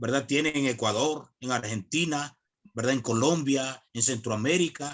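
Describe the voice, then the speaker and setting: A man talks at a medium pitch. His loudness stays very even. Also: ordinary pitch variation, fairly slow pace. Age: 40s. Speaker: evangelical chaplain. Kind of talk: online video call discussion. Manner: hesitant, many fillers.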